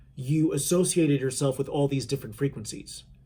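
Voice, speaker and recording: A man's fairly high, somewhat breathy voice with a dark, mellow tone and ordinary pitch variation. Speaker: spiritual channeler. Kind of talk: spiritual talk to viewers. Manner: casual, halting with fillers.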